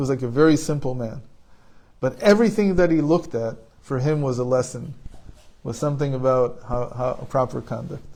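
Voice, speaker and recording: A man speaks in a dark, mellow tone that is somewhat breathy, with ordinary pitch variation. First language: Hebrew. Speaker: spiritual teacher. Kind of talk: informal talk.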